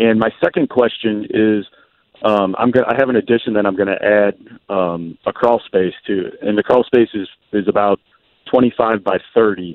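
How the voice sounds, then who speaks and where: In an unremarkable speaking voice, a man speaks at a moderate pace, fairly low in pitch, with fairly even intonation. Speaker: caller. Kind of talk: call-in question. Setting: phone call.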